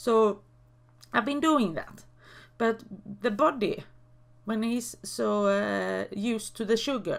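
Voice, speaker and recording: At a very slow pace, a woman talks with long, frequent pauses between her words. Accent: Swedish. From Sweden. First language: Swedish. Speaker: YouTuber. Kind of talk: casual vlog talk. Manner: halting, many fillers.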